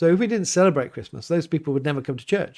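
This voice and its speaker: A man speaks with an English accent. His pitch varies in an ordinary way. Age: 40s. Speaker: vicar. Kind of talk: livestream Q&A. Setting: home livestream. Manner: casual, hesitant with fillers.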